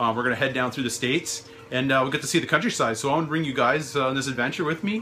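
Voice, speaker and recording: Faint music plays in the background as a man talks. His pace is very fast, with ordinary pitch variation. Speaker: hobby vlogger. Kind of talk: casual vlog chat. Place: home room.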